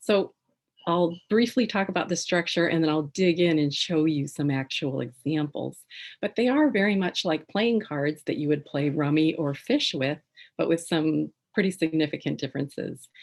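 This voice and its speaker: Against a quiet background, a soft-spoken woman talks at a moderate pace in a very deep, low pitch with ordinary pitch variation. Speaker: tarot author and writing presenter. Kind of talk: educational presentation. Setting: video call.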